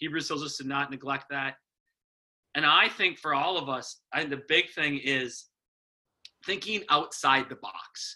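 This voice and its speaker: In an Upper Midwest accent, a man talks at a moderate pace with a fairly high pitch. His tone is bright and sharp, with fairly even intonation. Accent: Upper Midwest American. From US Midwest, Wisconsin. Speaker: rural pastor. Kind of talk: casual chat.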